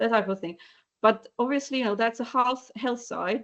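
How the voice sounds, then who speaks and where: Someone speaks with a Polish accent and ordinary pitch variation. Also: woman. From Poland. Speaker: animal welfare advocate. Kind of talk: webinar panel discussion. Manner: halting, many repetitions and fillers.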